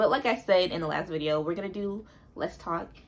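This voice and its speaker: With an ordinary speaking voice, a woman talks at a fairly quick pace at a fairly low pitch with ordinary pitch variation. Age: 20s. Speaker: notary public. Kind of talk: casual talk to camera. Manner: casual, chatty.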